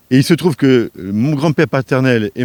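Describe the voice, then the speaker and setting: This is a man speaking at a medium pitch. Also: dry, close sound with no echo, very clean recording, silent background. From France, Strasbourg. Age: 60s. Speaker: parliamentary election candidate. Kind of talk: interview.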